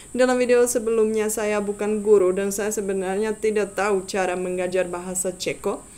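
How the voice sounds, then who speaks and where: Fairly even intonation at a moderate pace. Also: woman. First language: Czech (speaking Indonesian). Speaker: language tutor YouTuber. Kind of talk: tutorial. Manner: halting, many fillers.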